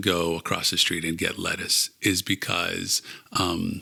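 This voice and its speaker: Recorded with a dry, close sound and no echo, a man with an American accent has a bright, sharp tone. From Pittsburgh, US. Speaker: food distribution sales professional. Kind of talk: casual interview. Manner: slow, hesitant.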